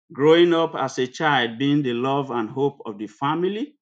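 Speaking at a moderate pace, a man has a medium pitch and an unremarkable speaking voice. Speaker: preacher. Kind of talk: sermon. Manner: formal, devout.

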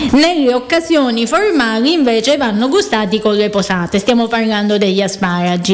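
The speaker uses lively intonation at a moderate pace, with noticeable background noise. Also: woman. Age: 30s. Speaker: radio host, cooking show. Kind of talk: casual radio chat.

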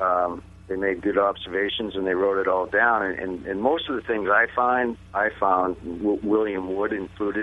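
With a normal speaking voice, a man talks at a fairly slow pace in a fairly low pitch, with ordinary pitch variation. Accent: American. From Massachusetts. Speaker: author. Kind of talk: interview.

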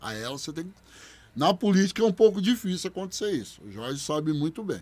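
A man talks in a plain, everyday voice. His pace is moderate and his intonation lively. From Bebedouro, São Paulo state, Brazil. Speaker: public servant and former capoeira fighter. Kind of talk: interview testimony.

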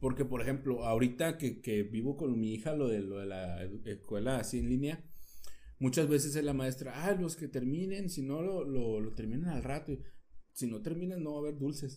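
Speaking at a moderate pace with a Mexican accent, a man has a dark, mellow tone, medium pitch and lively intonation. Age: 30s. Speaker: podcast co-host. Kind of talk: casual chat.

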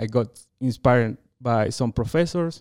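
A man with a Chilean accent speaks at a moderate pace, with a medium pitch and a dark, mellow tone. The recording is very clean, with a silent background. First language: Spanish. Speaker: veterinarian and dairy researcher. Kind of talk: interview.

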